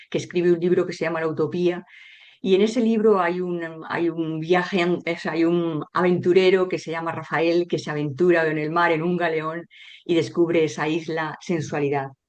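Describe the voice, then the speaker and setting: A woman talks at a moderate pace with a fairly low pitch. Her intonation stays monotone and flat. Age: 60s. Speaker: sociologist and author. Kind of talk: interview.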